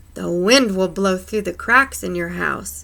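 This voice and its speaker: A woman uses a put-on character voice with a growl. She talks at a fairly slow pace. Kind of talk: bedtime story. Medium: read story.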